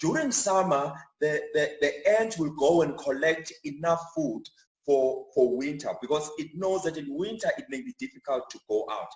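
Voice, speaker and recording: A man with a Zulu accent talks at a moderate pace, his intonation lively and his loudness swinging widely. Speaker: chartered accountant giving church finance talk. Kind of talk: church talk on personal finance. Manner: repetitive, frequent fillers and restarts.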